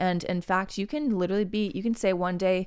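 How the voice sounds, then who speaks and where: In a very clean recording with a silent background, a woman with an American accent speaks at a moderate pace in an animated tone, her medium-pitched voice showing ordinary pitch variation. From US Midwest (Oklahoma). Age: 20s. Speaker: podcast host. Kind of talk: casual solo monologue.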